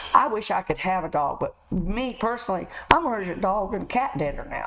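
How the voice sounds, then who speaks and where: Over noticeable background noise, a woman talks fairly quickly at a fairly high pitch. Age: 60s. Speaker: truck driver. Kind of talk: interview.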